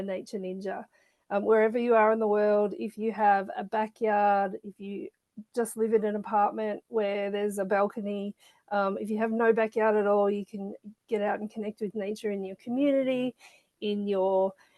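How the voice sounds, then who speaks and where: A woman talks at a medium pitch and moderate pace, with fairly even intonation and a slight Australian accent. The sound is dry and close, with no echo. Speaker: children's author and nature educator. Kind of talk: interview. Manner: hesitant with fillers.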